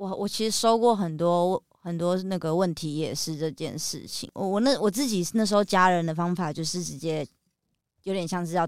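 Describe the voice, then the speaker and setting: This woman has a plain, everyday voice, pitched fairly low. Her pitch varies in an ordinary way, and she keeps a moderate pace. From Taiwan (New Taipei). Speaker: author and music video director. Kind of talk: interview about mental illness.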